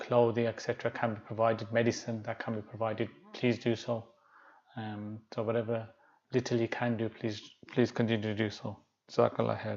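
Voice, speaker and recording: Soft-spoken and monotone, a man talks at a fairly quick pace with a medium pitch and flat intonation. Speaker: Islamic teacher. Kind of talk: lecture. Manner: halting.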